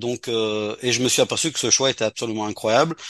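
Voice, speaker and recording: Against a quiet background, a man of medium pitch talks at a fairly quick pace with fairly even intonation, the sound dry and close with no echo. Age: 60s. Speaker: community organisation leader. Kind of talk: radio interview. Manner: halting.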